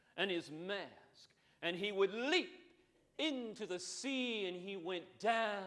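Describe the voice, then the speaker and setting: A man is speaking. His tone is bright and sharp. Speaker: monologist. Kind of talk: live storytelling performance. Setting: theater stage.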